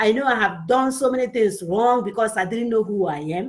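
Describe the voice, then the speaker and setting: This woman speaks with a Nigerian accent in a fairly high, somewhat breathy voice. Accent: Nigerian Igbo English. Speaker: women's show host. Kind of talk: motivational talk show. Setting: live online stream. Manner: animated.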